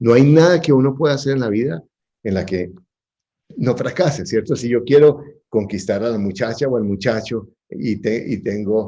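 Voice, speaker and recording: This man has a medium pitch and a dark, mellow tone. His intonation is lively and his pace moderate. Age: 60s. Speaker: real estate investor. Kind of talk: interview.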